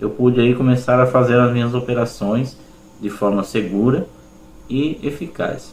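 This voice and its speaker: A man speaks in a plain, everyday voice. His pitch is medium, his pace moderate, and his pitch variation ordinary. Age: 40s. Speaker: schoolteacher, student testimonial. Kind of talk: testimony.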